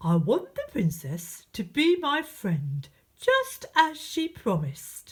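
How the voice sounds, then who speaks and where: A female-sounding, put-on character voice talks at a fairly slow pace with a fairly high pitch. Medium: read story.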